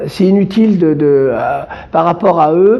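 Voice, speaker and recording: A man speaking at a very slow pace amid noticeable background noise. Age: 60s. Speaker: association activist. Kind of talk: interview. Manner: halting, many fillers and repetitions.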